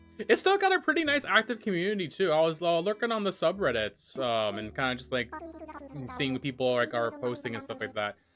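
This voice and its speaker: Over music in the background, a man talks at a fairly quick pace, his high-pitched voice making very wide pitch swings. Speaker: gaming streamer. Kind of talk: live stream chat. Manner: calmer for this game; loud, yells when excited.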